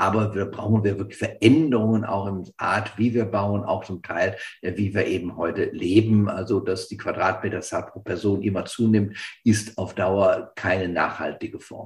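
Somewhat breathy and fairly low-pitched, a man talks at a moderate pace with fairly even intonation and big swings in loudness. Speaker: professor and risk researcher. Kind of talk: expert panel discussion.

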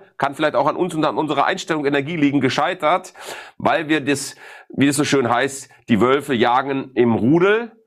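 A man speaks with ordinary pitch variation. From Ruhr area, Germany. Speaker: sales expert. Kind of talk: interview. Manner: direct.

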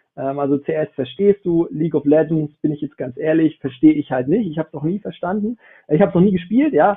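A very fast, fairly high-pitched male voice with ordinary pitch variation. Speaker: esports business founder. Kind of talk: panel discussion. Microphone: phone mic, quality could be better.

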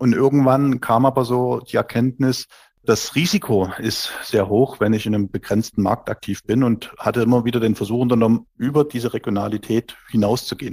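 Recorded very clean against a silent background, with a dry, close sound and no echo, a man speaks in an ordinary speaking voice at medium pitch and a moderate pace with fairly even intonation. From Saxony, Germany (Dresden). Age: 40s. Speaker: entrepreneur. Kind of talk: interview.

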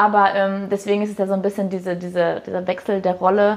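A woman has a plain, everyday voice at a medium pitch. She moves at a fairly quick pace with fairly even intonation. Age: 20s. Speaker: head of HR and apprentice training. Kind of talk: interview. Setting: live video interview.

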